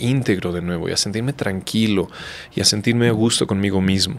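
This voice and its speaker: Ordinary pitch variation marks this man's moderately paced speech. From Mexico. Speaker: physician; guest. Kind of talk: interview conversation. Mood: calm, reflective. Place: studio. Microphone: studio mic.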